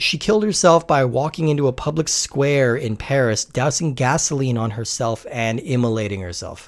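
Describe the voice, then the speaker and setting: An unremarkable speaking voice from a man, medium in pitch, at a moderate pace. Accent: American. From Colorado, US. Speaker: podcast host, film discussion. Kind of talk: scripted narration; casual chat.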